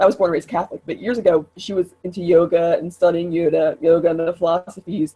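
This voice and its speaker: The speaker is a woman with a medium pitch. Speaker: women's talking circle leader. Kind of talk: casual chat. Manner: fast.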